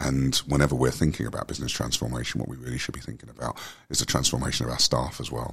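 The delivery is very fast and monotone, with flat intonation. Noticeable background noise runs under the voice. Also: man, very deep, low pitch for a man. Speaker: wellbeing company director. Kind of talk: casual interview chat. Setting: conference event.

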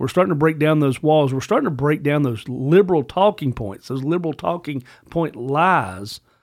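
The recording is very clean, with a silent background. A man speaks at a fairly high pitch and a moderate pace with lively intonation. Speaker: podcast co-host. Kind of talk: casual, colloquial. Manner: conversational, frequent "you know" fillers.

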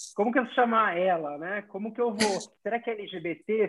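Here a man talks with ordinary pitch variation. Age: 40s. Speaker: corporate diversity leader. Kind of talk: casual chat. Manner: halting.

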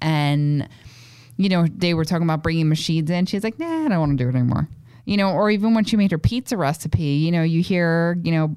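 Speaking at a fairly quick pace with a Brooklyn accent, a woman keeps her loudness very even, her pitch fairly low and her intonation lively. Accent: Brooklyn New York. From Williamsburg, Brooklyn, New York. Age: 30s. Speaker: chef. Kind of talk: casual chat.

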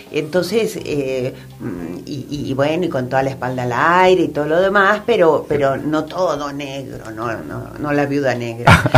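The voice moves at a fairly slow pace with lively intonation, with audible room echo and noticeable background noise. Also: woman, very deep, low pitch for a woman. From Argentina, raised mostly in Buenos Aires. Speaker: fashion designer. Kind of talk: radio interview. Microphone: too far from the mic at first.

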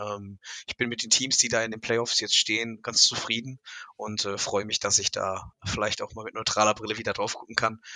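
A man of medium pitch speaks in a flat monotone, with a dry, close sound and no echo. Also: moderate pace, big swings in loudness. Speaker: college football expert. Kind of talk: casual chat. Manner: halting, many fillers.

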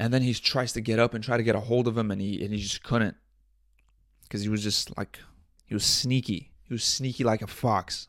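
In a very clean recording with a silent background, a man speaks at a fairly quick pace and medium pitch with fairly even intonation. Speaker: podcast host. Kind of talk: casual solo monologue. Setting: home studio with audio interface. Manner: rambling with frequent filler words and self-repetition; loud.

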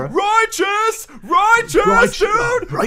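A put-on character voice shouts at an extremely high pitch over clear background noise. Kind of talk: slangy, casual.

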